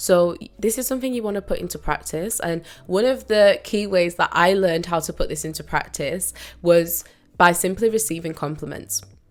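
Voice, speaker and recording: On a very clean recording with a silent background, a woman with a British accent speaks at a moderate pace, her fairly low pitch showing ordinary variation. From Britain. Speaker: lifestyle and mindset YouTuber, coach. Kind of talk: motivational talk to camera. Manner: casual, conversational.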